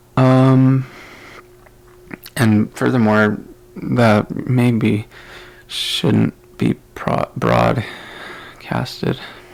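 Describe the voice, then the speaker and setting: Noticeable background noise fills the clip. A man's speech unfolds at a very slow pace. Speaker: podcaster. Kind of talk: casual monologue. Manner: slow, halting.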